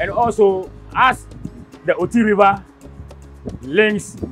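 Faint music can be heard behind the speaker. He is a man whose pitch varies in an ordinary way. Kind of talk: interview answer. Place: boat. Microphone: lapel.

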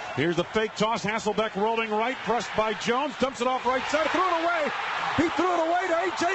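A man talks very fast, his pitch swinging very widely while his loudness stays very even. Noticeable background noise is present. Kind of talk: live sports commentary. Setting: stadium broadcast of a football game. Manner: rapid-fire play-by-play, excitable on touchdowns.

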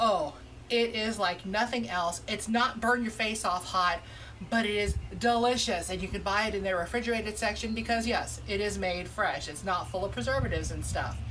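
A woman at a moderate pace, ordinary pitch variation, light background noise. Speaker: food vlogger. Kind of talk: casual restaurant review vlog. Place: street. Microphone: camera far.

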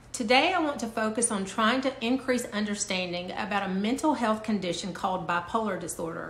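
A woman at a moderate pace with ordinary pitch variation and audible room echo. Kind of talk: educational talk to camera. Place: home room. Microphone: phone near.

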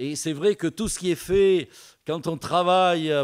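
Against a quiet background, a man is speaking. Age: old. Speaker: visiting preacher. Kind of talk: sermon. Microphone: podium.

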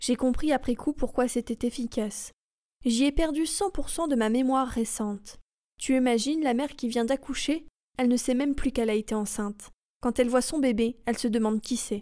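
The recording is very clean with a silent background, and a woman speaks at a fairly quick pace and high pitch. Her tone is dark, mellow, calm and soothing, with very even loudness and ordinary pitch variation. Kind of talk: audiobook reading. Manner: calm, soothing.

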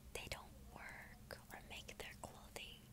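A woman whispering in a gentle, soothing tone at a fairly slow pace. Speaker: ASMR creator. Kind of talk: scripture reading for relaxation and sleep. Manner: soft-spoken, gentle, soothing. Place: home room. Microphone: earbuds.

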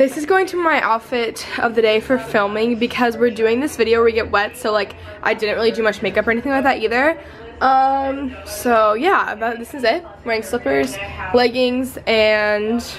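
A woman talks at a moderate pace. Faint music plays in the background. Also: ordinary pitch variation. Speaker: vlogger. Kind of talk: casual vlog chat. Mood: cheerful, chatty. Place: home room. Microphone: phone near.

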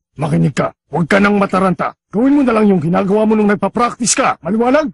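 A cartoonish character voice from a man, high-pitched, very fast, with lively intonation, very even loudness and a dry, close sound with no echo. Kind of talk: anime dub acting. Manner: gruff, commanding.

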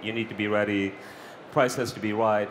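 A man's fairly quick speech comes through with light background noise behind it. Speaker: startup executive and founder. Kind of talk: panel discussion. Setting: stage with audience. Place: stage. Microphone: headset.

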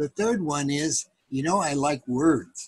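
In a quiet background with dry sound and no echo, a man speaks at a fairly slow pace, his somewhat breathy voice showing ordinary pitch variation. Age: old. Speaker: grandfather. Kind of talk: casual talk to grandchildren about books. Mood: warm, playful. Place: home room. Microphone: webcam.

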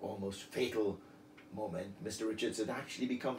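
Text read aloud plainly

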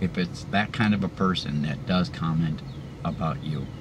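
Background noise is noticeable. The pace is moderate. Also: man. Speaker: vlogger sharing denture experience. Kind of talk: casual vlog chat. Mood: encouraging, upbeat. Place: car. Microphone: phone near.

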